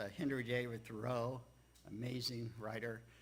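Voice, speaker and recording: A man talks at a fairly slow pace in an American accent, his pitch medium. His tone is bright and sharp, with audible room echo around it. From Texas and Louisiana, later Maryland. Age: 70s. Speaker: church speaker sharing life story. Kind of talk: personal talk to congregation. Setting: church livestream. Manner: halting, many fillers.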